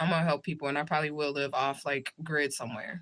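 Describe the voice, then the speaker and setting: A woman talks very fast in a bright, sharp tone. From US Midwest, St. Louis, Missouri. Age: 40s. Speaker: livestreamer and spiritual reader. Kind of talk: casual livestream chat. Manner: animated.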